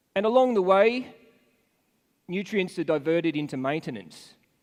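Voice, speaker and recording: A man with an Australian accent, high-pitched with very wide pitch swings, at a moderate pace. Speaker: animal nutritionist, conference speaker. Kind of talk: conference presentation.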